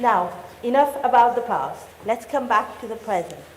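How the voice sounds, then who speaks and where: Noticeable background noise and audible room echo around a woman's fairly high voice. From Mauritius. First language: French. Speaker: mayor. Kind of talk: formal speech.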